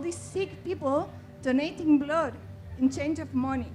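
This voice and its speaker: A woman with a Chilean accent. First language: Spanish. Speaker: audience member. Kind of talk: audience question.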